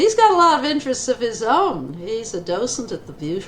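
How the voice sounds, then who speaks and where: A woman speaks in an American accent at a fairly slow pace. Background noise is noticeable. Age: 80s+. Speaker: retired eye surgeon. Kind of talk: interview.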